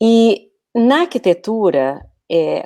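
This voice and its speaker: In a Brazilian accent, a woman speaks with a dark, mellow tone and very wide pitch swings. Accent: Brazilian Portuguese, noticeable. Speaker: communication coach, former architect. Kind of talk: casual interview via live stream. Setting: live online video stream. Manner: hesitant, many fillers.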